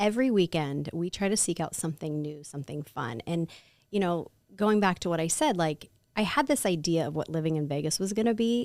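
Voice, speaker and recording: Speaking at a fairly quick pace with lively intonation, a woman with a Midwestern American accent has a fairly low pitch, captured in a very clean recording with a silent background. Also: dry, close sound with no echo. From Ohio. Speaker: Pilates teacher. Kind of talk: podcast interview answer. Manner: casual, upbeat.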